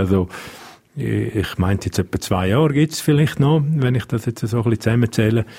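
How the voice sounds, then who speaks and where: With a Romansh Swiss accent, the speaker talks at a fairly quick pace with ordinary pitch variation. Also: man. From Switzerland, Engadin (Graubünden). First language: Romansh (speaking German). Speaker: police spokesperson. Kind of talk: radio interview.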